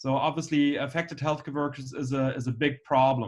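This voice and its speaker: At a moderate pace, a man with a fairly high pitch speaks with a slight German accent. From Germany. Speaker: anesthesiologist. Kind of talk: lecture. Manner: halting, many fillers.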